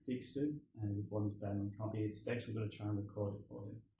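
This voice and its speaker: A man's somewhat breathy voice, dark and mellow in tone, carries fairly even intonation. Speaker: postgraduate researcher. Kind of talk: academic presentation. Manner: hesitant, many fillers.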